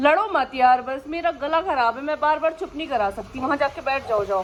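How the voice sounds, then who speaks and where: A woman speaks loudly with very wide pitch swings. Background noise is noticeable. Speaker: pet vlogger. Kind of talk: casual vlog. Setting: at home, then outdoors. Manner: speaking loudly to be heard.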